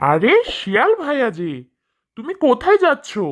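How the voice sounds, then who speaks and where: A high-pitched, female-sounding cartoonish character voice comes through over a quiet background. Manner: cheerful, stubborn.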